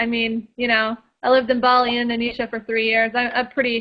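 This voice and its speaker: A woman speaks at a moderate pace in a fairly high pitch, her intonation monotone and flat. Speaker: political activist. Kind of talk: radio interview.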